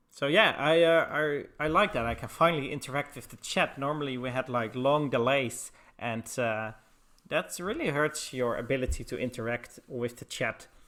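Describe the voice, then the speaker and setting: A man with a Dutch accent speaks at a moderate pace in a fairly high pitch, with ordinary pitch variation and big swings in loudness. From Netherlands. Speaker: esports caster. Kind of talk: live commentary.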